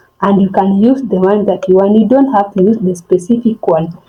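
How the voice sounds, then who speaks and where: At a moderate pace, a woman with a medium pitch speaks in a somewhat breathy way. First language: not English. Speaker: forex trading tutorial vlogger. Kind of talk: tutorial. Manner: halting, many fillers and restarts.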